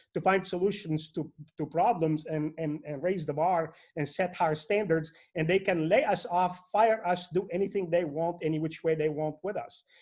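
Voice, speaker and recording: Against a quiet background, a man with an Arabic accent talks at a moderate pace in a high pitch with ordinary pitch variation. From Lebanon. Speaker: network marketing entrepreneur. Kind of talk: motivational speech. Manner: animated.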